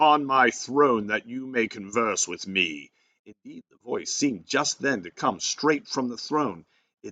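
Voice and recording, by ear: Over a quiet background, someone is reading aloud in a natural voice, with ordinary pitch variation.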